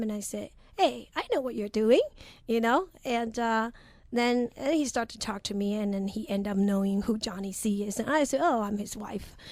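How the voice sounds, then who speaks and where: On a very clean recording with a silent background, a woman with a Chinese accent speaks at a moderate pace in a fairly high pitch with ordinary pitch variation. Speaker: professional blackjack player. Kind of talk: radio interview. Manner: halting with repetitions.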